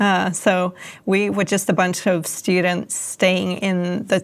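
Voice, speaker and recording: On a very clean recording with a silent background, a woman with a Swedish accent speaks very slowly in a monotone, flat intonation. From Sweden. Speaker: author and former political advisor. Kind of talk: interview.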